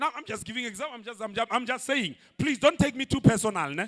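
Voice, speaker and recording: A loud, animated man speaking at a very fast pace. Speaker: pastor. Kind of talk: sermon.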